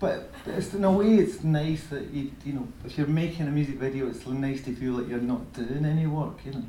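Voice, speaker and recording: With lively intonation and a fairly high pitch, a man talks through noticeable background noise. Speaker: music video director and former musician. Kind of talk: Q&A talk with audience. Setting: stage with audience.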